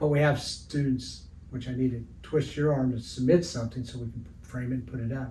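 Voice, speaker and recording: Amid audible room echo, a man with a US Midwestern accent speaks at a medium pitch and a moderate pace in monotone, flat intonation. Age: 70s. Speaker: retired art teacher and sports artist. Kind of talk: interview. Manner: halting, many fillers.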